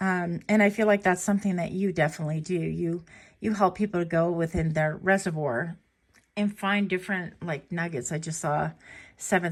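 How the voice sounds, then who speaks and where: A woman speaks in a fairly low pitch with a somewhat breathy quality. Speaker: tarot reader. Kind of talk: tarot reading to camera.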